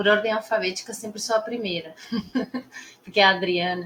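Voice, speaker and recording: With a Spanish-speaking accent, a woman talks at medium pitch and a moderate pace in fairly even intonation, amid noticeable background noise. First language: Spanish (speaking Portuguese). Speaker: Spanish teacher. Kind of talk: opening class talk.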